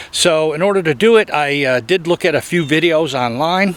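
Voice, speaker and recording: Moderate-paced speech from a man, pitch variation ordinary, with noticeable background noise behind it. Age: 60s. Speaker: DIY car repair video maker. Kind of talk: tutorial. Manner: halting, many filler uhs; casual.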